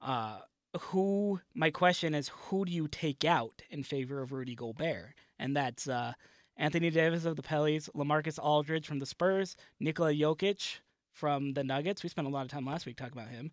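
On a very clean recording with a silent background, a man with an ordinary speaking voice talks at a moderate pace with a fairly high pitch and ordinary pitch variation. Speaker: sports podcast co-host. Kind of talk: casual banter.

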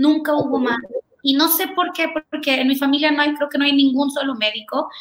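A high-pitched woman's voice with ordinary pitch variation. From Honduras (Tegucigalpa), Mexican family. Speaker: pediatric dentist. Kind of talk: interview. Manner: fast, energetic.

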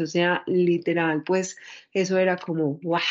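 A woman speaks at a medium pitch in an Antioquia Colombian accent. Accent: Colombian Paisa (Antioquia) Spanish. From Medellín, Colombia. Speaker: Afro-feminist activist. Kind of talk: interview testimony.

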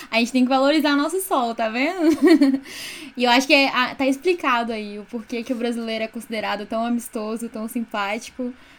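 Fairly quick, high-pitched speech from a woman, ordinary in its pitch variation. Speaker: student podcast co-host. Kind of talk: interview.

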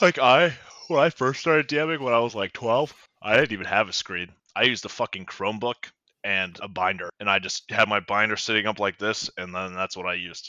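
With a normal speaking voice, a man talks at a fairly quick pace, his pitch fairly low and his intonation lively. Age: 20s. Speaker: gamer and tabletop game master. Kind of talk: casual chat.

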